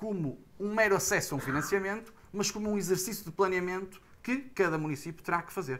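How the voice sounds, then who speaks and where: Speech at a moderate pace in a Porto accent. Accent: northern Portuguese (Porto). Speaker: heritage association representative, panelist. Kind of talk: panel discussion. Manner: hesitant, many fillers; formal.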